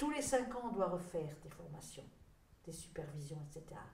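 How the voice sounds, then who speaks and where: A woman's fairly low voice with lively intonation, at a moderate pace, with audible room echo. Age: 70s. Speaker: sophrology therapist and school director. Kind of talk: interview. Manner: halting, with many hesitations.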